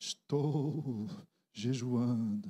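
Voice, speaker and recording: A man speaks breathily in a put-on character voice at a medium pitch. He is soft-spoken throughout. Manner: sanctimonious.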